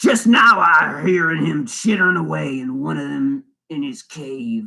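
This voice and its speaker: Putting on a character voice, a man speaks at a moderate pace. His pitch is fairly high. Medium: read story.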